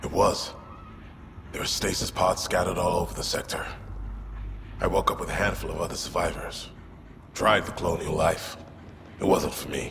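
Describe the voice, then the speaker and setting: A man speaks in a put-on character voice at a moderate pace. Long, frequent pauses break it up over clear background noise. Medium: machinima. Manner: dry, wry.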